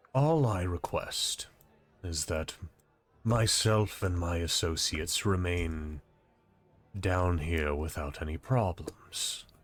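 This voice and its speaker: A put-on character voice at a fairly slow pace, with long, frequent pauses. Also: man, very deep, low pitch for a man. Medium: actual play. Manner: courteous, formal, calm.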